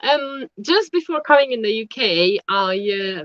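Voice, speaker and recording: Very slowly, a woman speaks with a Romanian accent and ordinary pitch variation. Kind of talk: casual interview chat. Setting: online live stream. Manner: halting.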